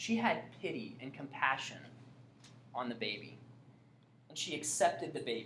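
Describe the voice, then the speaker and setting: With audible room echo around her, a woman with a very deep, low pitch speaks at a moderate pace, swinging widely in pitch and greatly in loudness, with long, frequent pauses. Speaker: Bible teacher. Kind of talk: Bible class lecture with questions. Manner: casual, conversational.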